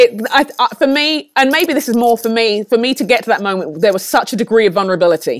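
Speaking at a fairly quick pace, a woman with a London accent uses lively intonation and a fairly high pitch. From London, England (Nigerian parents). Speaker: leadership trainer and author. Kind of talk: interview.

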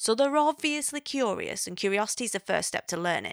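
A woman with an English accent speaks in a fairly high voice with very wide pitch swings, in a very clean recording with a silent background and a dry, close sound with no echo. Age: 30s. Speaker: podcast host. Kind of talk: casual monologue. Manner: chatty, hesitant with fillers.

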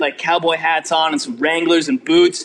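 With a Californian accent, a man speaks at a moderate pace. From California Bay Area. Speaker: rock drummer. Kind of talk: interview. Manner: laid-back.

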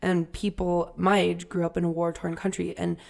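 A woman speaks at a fairly low pitch and a moderate pace. The recording is very clean, with a silent background. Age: 20s. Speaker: travel podcast co-host. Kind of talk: casual chat.

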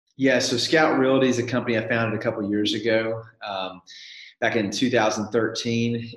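With a Southern US accent, a man speaks at a moderate pace in monotone, flat intonation. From Nashville, Tennessee. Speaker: real estate company founder. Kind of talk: interview. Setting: call.

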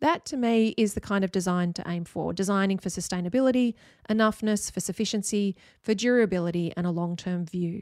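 In an Australian accent, a woman talks at a fairly quick pace on a very clean recording with a silent background and a dry, close sound free of echo. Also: medium pitch for a woman, ordinary pitch variation. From Australia, Sydney. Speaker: architect, podcast host. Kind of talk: solo podcast monologue.

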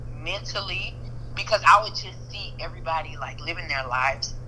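A woman at a moderate pace with noticeable background noise. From Louisiana (Zachary, Baton Rouge). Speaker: school counselor. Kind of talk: casual chat.

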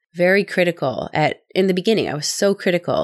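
A woman speaks with a Midwestern US accent. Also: very clean recording, silent background. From US Midwest. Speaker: podcast host.

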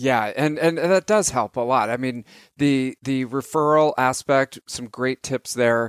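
A man speaks in a plain, everyday voice. He goes at a fairly slow pace with ordinary pitch variation. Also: medium pitch for a man. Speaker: podcast host. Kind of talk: interview. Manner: casual, friendly.

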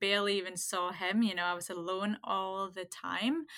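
A woman speaks at a moderate pace in a bright, sharp, monotone, flat voice on a very clean recording with a silent background. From Denmark. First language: Danish. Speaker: cafe owner and business coach. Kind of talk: casual interview.

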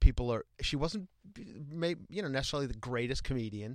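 A strong Long Island accent in a dry, close sound with no echo, in a very clean recording over a silent background. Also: man. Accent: Long Island accent, thick. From Long Island, New York (Ronkonkoma). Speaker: stand-up comedian. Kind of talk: casual chat. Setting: studio.

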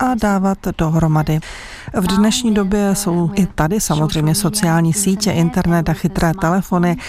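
Against noticeable background noise, a woman at medium pitch talks at a fairly slow pace with fairly even intonation. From northern Vietnam. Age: young. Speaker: documentary film director. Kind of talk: interview.

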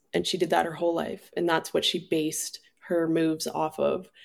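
In a very clean recording with a silent background, a woman speaks at a fairly low pitch with vocal fry. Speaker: speaker on personal growth and addiction recovery. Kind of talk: casual personal conversation.

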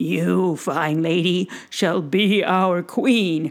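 A female-sounding put-on character voice moves along at a very slow pace. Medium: read story. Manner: solemn, grateful, formal.

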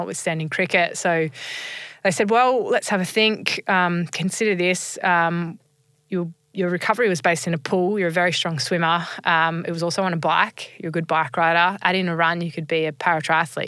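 Fairly quick and fairly low, a woman's voice with an Australian accent has a bright, sharp tone and fairly even intonation. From Australia (rural New South Wales, then Sydney). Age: 30s. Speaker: former professional cricketer and motivational speaker. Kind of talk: interview, personal story. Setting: studio.

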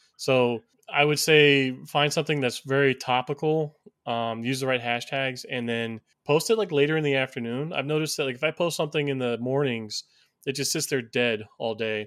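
Using a plain, everyday voice, a man talks at a moderate pace and his pitch varies in an ordinary way. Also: medium pitch for a man. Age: 30s. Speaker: podcast co-host. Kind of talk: casual podcast interview. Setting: remote recording.

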